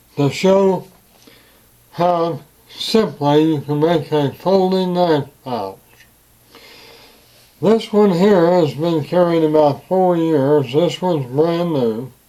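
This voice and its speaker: A man's high-pitched voice at a very slow pace, with long, frequent pauses and noticeable background noise. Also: ordinary pitch variation. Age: 80s+. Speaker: leather craftsman. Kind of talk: casual talk to camera.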